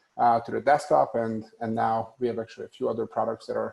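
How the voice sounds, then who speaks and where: With a Hungarian accent, a man talks at a very fast pace. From Hungary. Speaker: tech company executive. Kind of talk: panel discussion. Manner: hesitant, many fillers.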